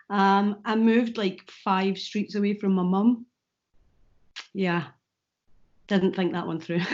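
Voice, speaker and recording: Speaking very slowly with long, frequent pauses, a woman with a Scottish accent keeps a medium pitch and fairly even intonation. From Scotland, Falkirk. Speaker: comedian and YouTuber. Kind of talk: interview.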